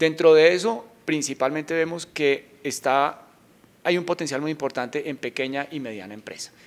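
A man with a fairly high pitch and ordinary pitch variation speaks at a moderate pace, his loudness swinging widely. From Colombia, Bogotá. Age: 40s. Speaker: bank executive. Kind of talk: interview. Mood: calm, positive. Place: office. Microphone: handheld.

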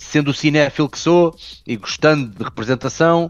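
A man with a European Portuguese accent, music in the background, the sound dry and close with no echo. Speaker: personal trainer and film actor. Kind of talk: casual chat.

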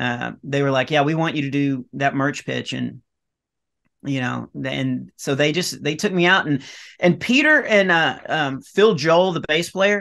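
Against a quiet background, a man in a Texan accent talks at a fairly slow pace, his voice fairly high in pitch with a bright, sharp tone. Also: ordinary pitch variation. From Texas, rural north Texas near Dallas/Fort Worth. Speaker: comedian. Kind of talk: casual chat. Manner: halting, many fillers. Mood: relaxed storytelling. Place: home room. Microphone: webcam.

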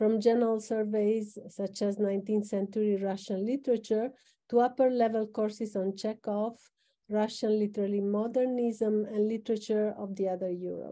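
A woman's fairly high voice with a dark, mellow tone and fairly even intonation, at a moderate pace against a quiet background. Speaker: organizer, moderator; moderator. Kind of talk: formal introduction. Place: office. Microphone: video call.

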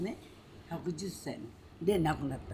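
A woman speaks over noticeable background noise. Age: 80s+. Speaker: udon shop owner. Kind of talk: interview answer. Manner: casual, chatty. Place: home room.

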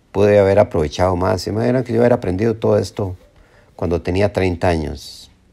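At a fairly quick pace, a man speaks in a dark, mellow tone at a fairly low pitch. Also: ordinary pitch variation. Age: 60s. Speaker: self-help video presenter. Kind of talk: motivational monologue. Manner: halting, with frequent repetitions.

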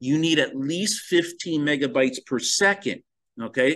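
A man with an American accent and an unremarkable speaking voice talks fairly slowly at a fairly high pitch, with ordinary pitch variation over a quiet background. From New Jersey (Sussex County, near Newark). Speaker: college professor, physician. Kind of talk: lecture. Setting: recorded video lecture with slides.

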